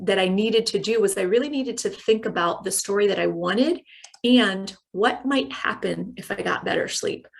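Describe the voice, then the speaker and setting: With a medium pitch and ordinary pitch variation, a woman talks. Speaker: corporate well-being trainer. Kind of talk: online training talk. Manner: fast.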